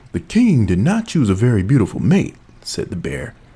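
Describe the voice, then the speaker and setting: A man at a fairly slow pace, dark and mellow in tone, with vocal fry and very wide pitch swings. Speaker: gear reviewer. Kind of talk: reading a story aloud as an audio sample. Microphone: studio mic.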